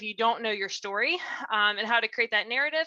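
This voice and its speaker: A woman's bright, sharp tone with lively intonation, in a dry, close sound with no echo. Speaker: nonprofit director and speaker. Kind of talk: presentation. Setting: video call from home. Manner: fast; animated.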